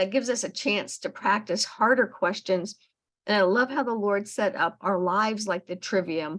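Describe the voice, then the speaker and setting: An ordinary speaking voice at a moderate pace, with ordinary pitch variation and a quiet background. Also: woman. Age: 60s. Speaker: podcast host, homeschooling parent. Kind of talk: casual book club discussion.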